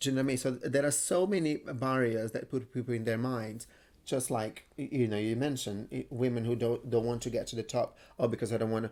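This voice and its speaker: Speaking very fast, a man with a medium-pitched voice has a Brazilian Portuguese accent. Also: very clean recording, silent background. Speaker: entrepreneur. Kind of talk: interview. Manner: animated.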